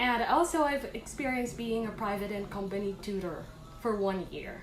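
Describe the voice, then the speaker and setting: A woman with a Filipino accent talks at a moderate pace and a fairly high pitch, with lively intonation. Audible room echo and music in the background fill the recording. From Philippines. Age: 20s. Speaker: online English teacher applicant. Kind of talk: casual vlog talk; job interview answers.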